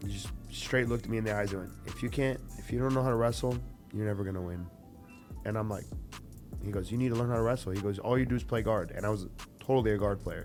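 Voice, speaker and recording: Music plays behind a man with a fairly low pitch who talks at a very fast pace with fairly even intonation, broken by long, frequent pauses. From Brazil. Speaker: jiu-jitsu coach and former fighter. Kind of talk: interview answer. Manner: casual, conversational.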